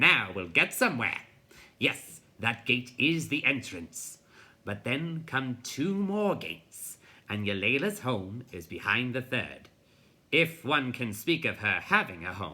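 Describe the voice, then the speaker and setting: A man performs a put-on character voice at medium pitch with very wide pitch swings. He delivers it at a fairly slow pace. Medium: read story. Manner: pompous, lecturing.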